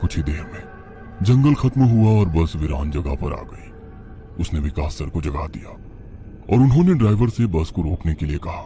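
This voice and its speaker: A cartoonish character voice moves at a fairly quick pace. Clear music plays in the background. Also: man, very deep, low pitch for a man. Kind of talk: horror story narration.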